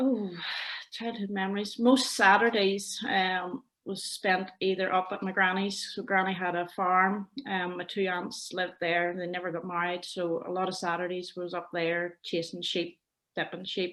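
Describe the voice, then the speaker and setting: With a Northern Irish accent, a woman speaks at medium pitch and a moderate pace, her intonation monotone and flat. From Northern Ireland, County Londonderry near Lough Neagh. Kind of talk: interview testimony.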